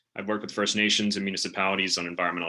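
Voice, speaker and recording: The voice has a bright, sharp tone and a western Canadian accent. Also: man. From western Canada, West Vancouver. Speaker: political candidate. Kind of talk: campaign speech. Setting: video call.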